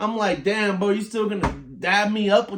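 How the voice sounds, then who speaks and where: A man's animated, high-pitched voice at a moderate pace, with noticeable background noise. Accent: American. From Louisiana, Shreveport. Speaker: podcast host. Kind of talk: casual storytelling monologue.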